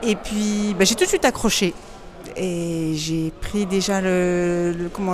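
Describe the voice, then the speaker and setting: A woman's medium-pitched voice at a very slow pace, with ordinary pitch variation, over noticeable background noise. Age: 50s. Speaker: program client sharing testimony. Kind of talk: testimony interview. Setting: in person, Madrid. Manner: halting, stammering.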